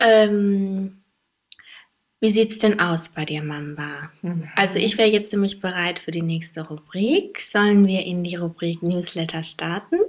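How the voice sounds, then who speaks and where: A woman at a medium pitch talks at a very slow pace, her intonation fairly even. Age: 30s. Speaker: podcast co-host. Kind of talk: casual chat.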